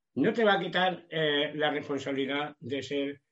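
Fairly slow delivery with ordinary pitch variation. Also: man. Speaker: preacher. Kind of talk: sermon. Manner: halting, many repetitions.

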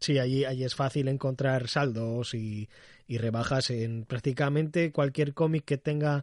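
A man's plain, everyday voice, medium in pitch with ordinary pitch variation, at a fairly slow pace over a quiet background. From Canary Islands, Spain. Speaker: comics podcast host. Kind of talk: casual interview chat. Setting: video call.

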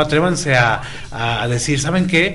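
With audible room echo and noticeable background noise, a man speaks fairly slowly at a fairly high pitch. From Tijuana, Baja California, Mexico. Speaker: radio host. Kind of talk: casual chat.

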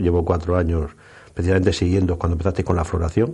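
Talking at a very fast pace, a man has a very deep, low pitch and a dark, mellow tone that is somewhat breathy. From Murcia, Spain. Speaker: radio co-host and farmer. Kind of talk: radio show chat.

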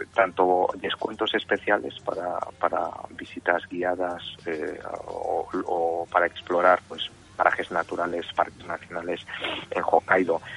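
A man with a very deep, low pitch speaks in a monotone, flat intonation against noticeable background noise. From Spain, Madrid (born in Osaka, Japan; moved at about 3). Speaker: tourism board communications officer. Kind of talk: interview.

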